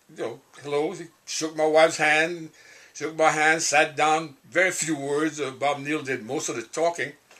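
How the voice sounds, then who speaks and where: With a Cajun accent, a man talks in a fairly high pitch with a bright, sharp tone. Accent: Cajun Louisiana English. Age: 80s+. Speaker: singer-songwriter. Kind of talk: interview storytelling. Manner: hesitant, halting.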